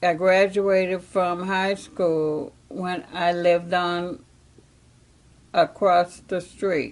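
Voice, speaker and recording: Very slow speech with fairly even intonation. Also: woman, fairly low pitch for a woman. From northwest Indiana. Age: 70s. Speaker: oral history interviewee. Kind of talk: interview.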